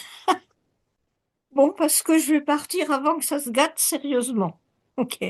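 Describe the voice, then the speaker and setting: A woman speaks in a high-pitched voice. The background is quiet. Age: 80s+. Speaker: participant. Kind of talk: audience comment.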